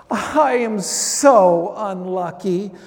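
A whiny, put-on character voice. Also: man, high pitch for a man.

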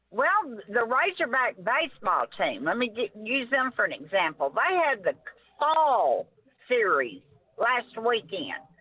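At a fairly slow pace, a woman with an Arkansas accent speaks in a high pitch with very wide pitch swings and very even loudness. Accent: Southern US (Arkansas). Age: 60s. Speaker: caller. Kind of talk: call-in sports talk.

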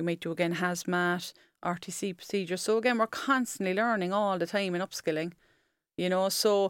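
A woman with a Cork accent speaks at a moderate pace and medium pitch, with ordinary pitch variation. The recording is very clean with a silent background, and the sound is dry and close with no echo. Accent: Cork Irish. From Ireland, Cork. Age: 40s. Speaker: firefighter. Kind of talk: interview. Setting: studio.

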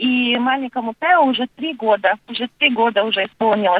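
Moderate pace and ordinary pitch variation from a woman pitched high. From Latvia. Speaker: mother of three. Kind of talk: interview. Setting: phone call.

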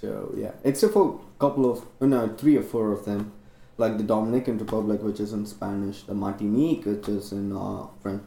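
This man has a fairly low pitch and a dark, mellow tone. He speaks at a moderate pace with fairly even intonation. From India. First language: Indian language. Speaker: medical student. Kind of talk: casual chat.

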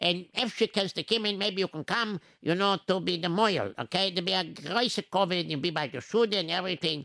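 Putting on a character voice, a man speaks high-pitched and fairly quick with lively intonation, in a dry, close sound with no echo. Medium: read story. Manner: insistent, hospitable.

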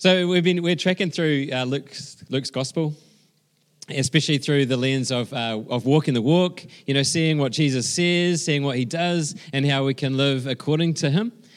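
Speaking at a moderate pace, a man with a New Zealand accent uses a fairly high pitch and ordinary pitch variation. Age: 40s. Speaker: pastor. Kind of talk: sermon. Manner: halting.

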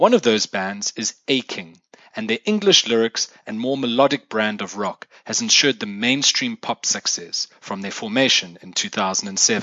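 Man with a medium pitch, ordinary pitch variation, big swings in loudness, a fairly slow pace and hardly any pauses. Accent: South African. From South Africa. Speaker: music podcast host. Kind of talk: scripted solo podcast monologue. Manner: formal.

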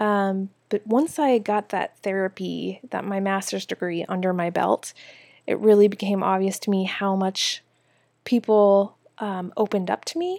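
A woman with an American accent speaks at a moderate pace in an unremarkable speaking voice, her intonation fairly even, recorded very cleanly against a silent background with a dry, close sound and no echo. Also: medium pitch for a woman. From Minnesota, US Midwest. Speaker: wardrobe stylist and podcast host. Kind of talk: casual solo monologue. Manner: casual, many filler words.

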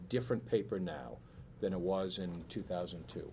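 Speaking with an American accent at a moderate pace, a man with a very deep, low pitch and a dark, mellow tone uses lively intonation. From Boston area, Massachusetts (Weymouth). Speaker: newspaper editor. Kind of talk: talk and Q&A at a speaker series. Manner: hesitant, many fillers.

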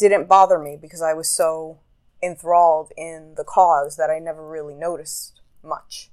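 This is a woman with a normal speaking voice. Her pitch is fairly low and her pace fairly slow. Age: 30s. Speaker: podcast host. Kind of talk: solo monologue. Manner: casual. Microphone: new recording app.

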